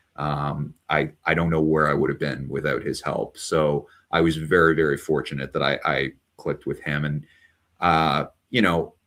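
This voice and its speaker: Speaking at a moderate pace, a man uses a very deep, low pitch with vocal fry and monotone, flat intonation. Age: 40s. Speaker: author. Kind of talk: interview. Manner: halting, many repeated words.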